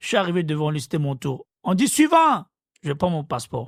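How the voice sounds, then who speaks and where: A man with an Ivorian accent speaks with very wide pitch swings. The sound is dry and close with no echo, in a very clean recording with a silent background. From Côte d'Ivoire. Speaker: interviewee. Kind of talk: storytelling interview.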